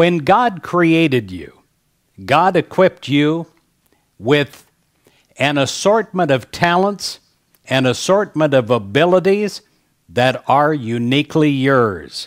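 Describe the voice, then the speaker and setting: A man talks very slowly, with long pauses coming often. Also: quiet background. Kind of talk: fundraising appeal and devotional talk. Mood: warm, gentle, smiling. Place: studio. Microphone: headset.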